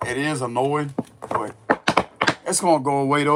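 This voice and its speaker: A man speaks at a fairly quick pace with fairly high pitch. Noticeable background noise can be heard. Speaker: tarot reader. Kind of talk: tarot reading. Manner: casual, conversational.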